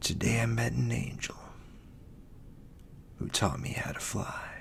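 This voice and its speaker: Fairly slow whispering beneath noticeable background noise. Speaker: poet and ASMR creator. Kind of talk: poetry reading. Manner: soft-spoken.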